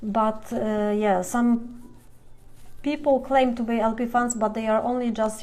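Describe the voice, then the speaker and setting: A woman's fairly high voice with fairly even intonation, plus audible room echo. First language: Polish. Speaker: fan blogger. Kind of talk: live Q&A stream. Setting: Instagram live video. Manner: halting.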